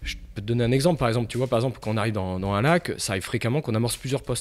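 His pitch shows ordinary variation. The man speaks at a very fast pace. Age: 40s. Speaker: carp angler; podcast guest. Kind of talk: casual interview. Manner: halting, many fillers. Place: studio. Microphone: studio mic.

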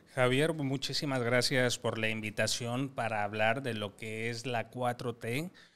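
Man with a medium pitch, fairly even intonation, a very slow pace and hardly any pauses. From Mexico, Coahuila (La Laguna region); Coahuila, Mexico. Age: young. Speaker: government official and political commentator; political commentator. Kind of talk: political discussion panel. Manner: formal. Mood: earnest, measured. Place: studio. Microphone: studio mic.

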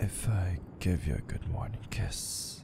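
A soft-spoken whisper at a very slow pace, dry with no echo, over noticeable background noise. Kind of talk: intimate roleplay monologue. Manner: soft, intimate, teasing near-whisper.

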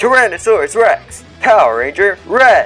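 A put-on character voice with a fairly high pitch and energetic tone moves at a moderate pace over music in the background. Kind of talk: toy review commentary. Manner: bold, energetic announcing.

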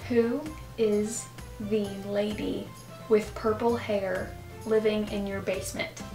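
Clear music plays behind a woman who speaks at a very slow pace with long, frequent pauses. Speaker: guest friend. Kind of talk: casual game talk, asking questions. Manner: playful, slightly exasperated. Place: home room. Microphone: camera far.

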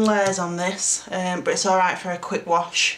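Audible room echo surrounds a woman speaking. She has a South Yorkshire accent and a moderate pace.

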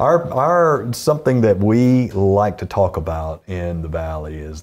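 In a very clean recording with a silent background, a man speaks at a fairly slow pace with a slightly mellow tone and lively intonation.

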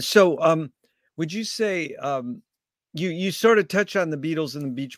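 In a normal speaking voice, a man talks fairly slowly with lively intonation, the sound dry with no echo and the background quiet. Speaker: interviewer. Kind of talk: interview. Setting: live stream. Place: home room. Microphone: video call.

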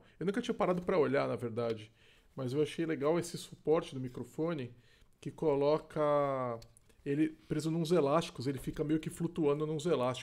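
A man's speech moves at a fairly quick pace, showing ordinary pitch variation against a quiet background. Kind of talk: casual product review. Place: home room. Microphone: studio mic.

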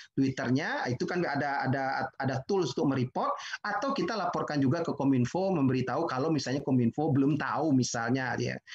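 A man with a normal speaking voice talks fairly quickly, his pitch fairly high. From West Sumatra, Indonesia (Padang Pariaman); West Sumatra. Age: 50s. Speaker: digital business professional; webinar presenter. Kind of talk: webinar presentation. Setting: video call webinar, working from home. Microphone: video call.

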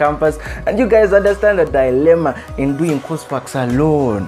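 A man speaks at a fairly quick pace with faint music in the background. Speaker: motivational speaker. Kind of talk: motivational speech. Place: home room. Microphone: lapel.

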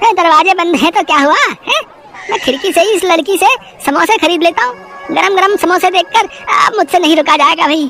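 A cartoonish character voice at a fairly quick pace, with clear music in the background. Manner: casual, impatient.

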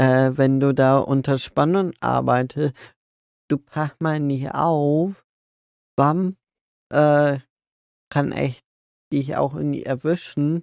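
Very slow speech with fairly even intonation comes through a dry sound with no echo and a quiet background. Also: man. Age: 20s. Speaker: podcast co-host. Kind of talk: casual chat. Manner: halting. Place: open country. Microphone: phone near.

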